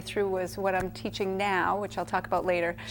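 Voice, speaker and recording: With a New England accent, a woman speaks very fast at medium pitch. Her intonation is monotone and flat. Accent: New England American. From Worcester, Massachusetts. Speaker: teacher and entrepreneur. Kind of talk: interview.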